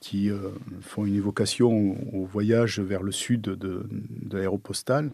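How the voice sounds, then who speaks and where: At a very slow pace, a man talks in a fairly low pitch with a dark, mellow tone and fairly even intonation. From southern France. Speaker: architect. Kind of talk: interview answer. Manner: discreet, hesitant.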